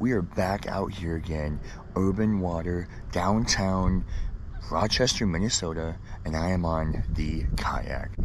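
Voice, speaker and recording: With audible room echo, a man talks at a fairly slow pace with ordinary pitch variation. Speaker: fishing vlogger. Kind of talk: casual vlog narration. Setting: outdoors on a kayak. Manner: quiet; excited.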